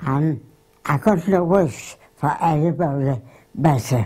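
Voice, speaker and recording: With a very deep, low voice, a woman speaks very slowly in a dark, mellow, somewhat breathy tone with lively intonation. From Wakefield area, Yorkshire, England. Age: 80s+. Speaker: grandmother recalling her life. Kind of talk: interview answer. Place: home room. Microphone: lapel.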